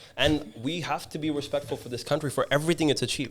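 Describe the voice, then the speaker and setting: A man talks at a very fast pace. His pitch sits fairly high for a man. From Dubai. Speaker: podcast host. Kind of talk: casual chat. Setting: studio.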